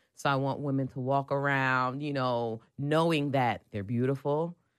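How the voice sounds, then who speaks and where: A woman's very deep, low voice with an American accent, against a quiet background. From New Jersey. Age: 30s. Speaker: digital producer and lifestyle blogger. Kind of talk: casual interview.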